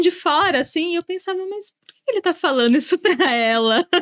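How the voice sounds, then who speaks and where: A woman at an extremely high pitch and a fairly quick pace, dry and close with no echo. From São Paulo, Brazil (born rural Minas Gerais). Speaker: sales manager, podcast co-host. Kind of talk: casual podcast chat. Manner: talkative.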